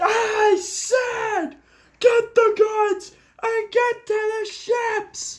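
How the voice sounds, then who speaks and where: In a put-on character voice, the speaker goes at a very slow pace with an extremely high pitch. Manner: raised commanding voice.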